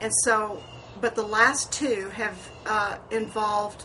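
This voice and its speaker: Her voice sits at a fairly high pitch as the woman talks. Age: 60s. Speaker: beauty vlogger. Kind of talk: personal vlog monologue. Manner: rambling conversational, hesitant fillers.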